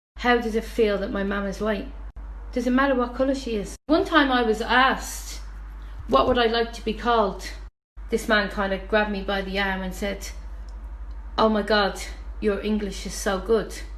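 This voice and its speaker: A woman with a Dublin accent at a moderate pace, with long, frequent pauses and audible room echo. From Dublin, Ireland. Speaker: guest. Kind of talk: testimony.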